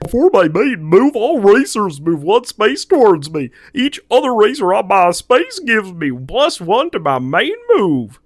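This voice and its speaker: In a cartoonish character voice, a man speaks at a high pitch with very wide pitch swings and hardly any pauses. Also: moderate pace. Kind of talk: cartoon voice acting. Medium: solo performance. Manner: exaggerated, improvised.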